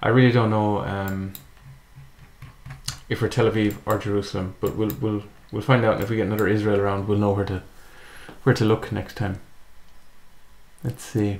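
Speaking with an Irish accent, a man with a fairly low pitch uses monotone, flat intonation and long, frequent pauses. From Ireland. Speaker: gaming YouTuber. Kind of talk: casual gameplay commentary. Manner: hesitant, thinking aloud.

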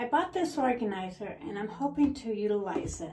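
A woman talks at a fairly slow pace. There is noticeable background noise. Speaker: home vlogger. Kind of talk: casual vlog chat. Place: bathroom. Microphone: camera far.

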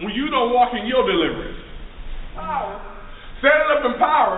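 A man at an extremely high pitch with very wide pitch swings, moderate pace and audible room echo. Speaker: minister preaching. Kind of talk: rousing call-and-response sermon to a congregation. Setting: church service with live audience. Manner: fervent, repetitive preacher cadence with rhetorical questions; informal, stumbling with fillers and restarts. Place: classroom. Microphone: camera far.

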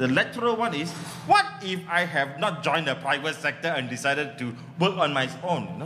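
There is light background noise as a man speaks in an animated tone at a fairly quick pace. His pitch varies in an ordinary way. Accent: Malaysian. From Malaysia. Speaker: comedy workshop founder and comedian; comedian. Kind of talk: stand-up comedy. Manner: animated, joke-heavy. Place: stage. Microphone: camera far.

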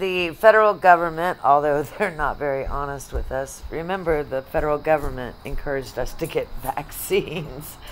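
A woman talks at a moderate pace with hardly any pauses, her pitch very deep and low, against light background noise. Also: ordinary pitch variation. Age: 50s. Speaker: YouTuber reacting to videos. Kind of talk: reaction commentary. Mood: earnest, concerned. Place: home room.

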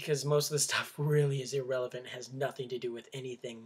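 In a somewhat breathy, fairly high voice with an American accent, a man talks at a very fast pace against a quiet background. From Minnesota. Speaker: vlogger. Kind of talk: casual vlog monologue. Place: home room. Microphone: webcam.

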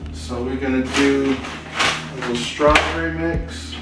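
Male speech with audible room echo and clear music in the background. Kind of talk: casual vlog chat. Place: kitchen.

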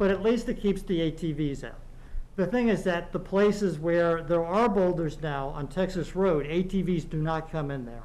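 A man speaks with a high pitch and ordinary pitch variation. His pace is fairly slow. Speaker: local resident and trail volunteer; resident giving public comment. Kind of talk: public comment at town meeting. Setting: meeting room with microphones and audience. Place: meeting room. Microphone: podium.

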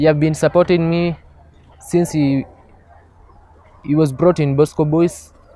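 A man talks at a moderate pace with monotone, flat intonation. The sound is dry with no echo, and crowd noise runs in the background. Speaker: interviewee. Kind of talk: interview answer. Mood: grateful, earnest. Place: open country.

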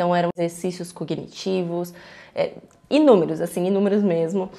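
A woman's dark, mellow, medium-pitched voice with fairly even intonation against a quiet background. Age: 20s. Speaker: YouTuber, student; YouTuber. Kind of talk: personal vlog testimony. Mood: personal, reflective. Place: home room. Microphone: lapel.

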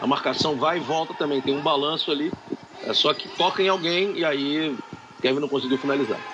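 Noticeable background noise surrounds a man's fairly high voice. He speaks at a fairly quick pace with fairly even intonation. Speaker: color commentator. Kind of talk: live commentary.

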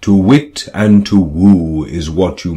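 The speaker is reading aloud in a natural voice. Nothing else stands out.

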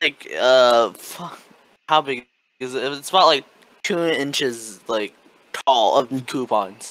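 A man at a medium pitch and a very slow pace, with long, frequent pauses, big swings in loudness and ordinary pitch variation. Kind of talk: casual chat. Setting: video call.

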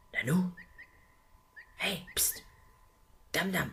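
In a put-on character voice, a man speaks very slowly at a high pitch with ordinary pitch variation, vocal fry and a fairly bright tone.

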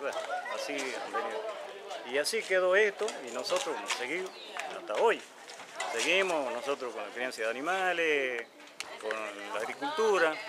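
Against loud background noise, a man with a high pitch and very wide pitch swings talks at a moderate pace, leaving long, frequent pauses. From Argentina. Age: 60s. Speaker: resident in a land dispute. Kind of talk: interview. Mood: aggrieved, explaining a conflict. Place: street.

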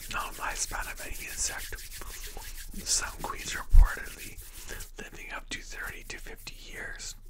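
A soft-spoken man whispering at a moderate pace amid noticeable background noise. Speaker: vlogger. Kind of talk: reading aloud from text. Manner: soft ASMR whisper while chewing gum. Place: home room. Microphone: webcam.

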